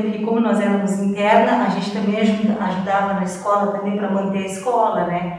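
In a room with audible echo, a woman speaks at a medium pitch and moderate pace with fairly even intonation. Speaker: school employee, former student. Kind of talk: testimony. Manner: halting.

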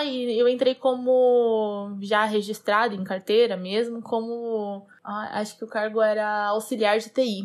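A normal speaking voice at a fairly slow pace with fairly even intonation, in a very clean recording with a silent background. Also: woman. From Brazil, interior of São Paulo state. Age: 20s. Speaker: software engineer. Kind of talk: casual monologue.

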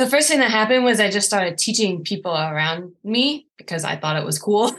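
In a plain, everyday voice, a woman with an American accent speaks at a medium pitch with lively intonation over a quiet background. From US. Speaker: scientist and poi instructor. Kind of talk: interview.

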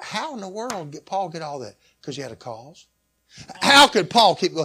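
In a Southern US accent, a man speaks at a high pitch. His pitch swings very widely. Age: 60s. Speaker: pastor. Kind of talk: sermon.

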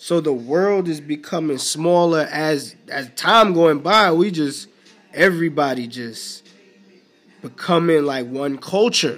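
A man with an American accent and a fairly high pitch speaks at a very slow pace, with ordinary pitch variation. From New York City (Bronx). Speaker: podcast host. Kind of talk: solo casual monologue. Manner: relaxed, conversational.

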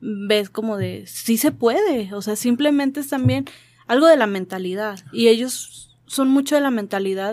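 This woman has a plain, everyday voice at a fairly high pitch. She talks at a fairly slow pace with lively intonation. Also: very clean recording, silent background. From Mexico. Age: 20s. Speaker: radio show's sound operator. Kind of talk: casual chat.

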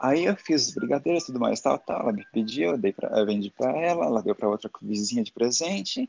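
A man of medium pitch, fairly quick and with hardly any pauses, his pitch swinging very widely. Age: 40s. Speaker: confectioner, former fashion worker. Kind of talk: casual interview chat. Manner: animated.

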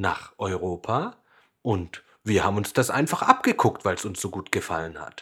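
With lively intonation and a plain, everyday voice, a man speaks at a fairly slow pace and fairly low pitch on a very clean recording with a silent background. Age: 20s. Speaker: children's music podcast host. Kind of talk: scripted narration for children.

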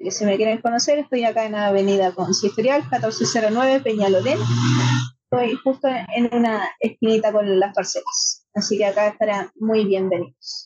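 With a Chilean accent, a woman speaks at a moderate pace and a very even loudness, using a fairly high pitch with ordinary pitch variation. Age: 30s. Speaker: pastry business owner and table tennis player. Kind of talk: interview.

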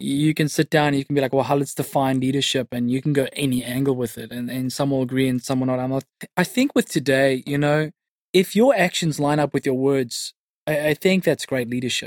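Speaking with a South African accent, a man has a fairly high pitch and a fairly quick pace. The sound is dry and close, with no echo. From South Africa, Cape Town northern suburbs. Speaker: youth pastor. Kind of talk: interview. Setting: studio. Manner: energetic.

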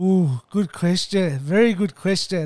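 Speaking with an Australian accent, a man uses a high pitch and ordinary pitch variation at a fairly slow pace. The sound is dry and close with no echo, in a very clean recording with a silent background. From Melbourne, Australia. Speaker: podcast host. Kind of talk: casual interview. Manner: hesitant, many fillers and repetitions.

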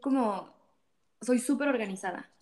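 Talking at a fairly slow pace, a woman with a Mexican accent has a high pitch, a dark, mellow tone and ordinary pitch variation. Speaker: church volunteer, social projects worker. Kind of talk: casual chat.

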